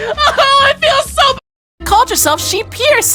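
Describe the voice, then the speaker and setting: A put-on character voice at an extremely high pitch, fairly slow in pace, with music in the background. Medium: voice reel. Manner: excitable, laughing.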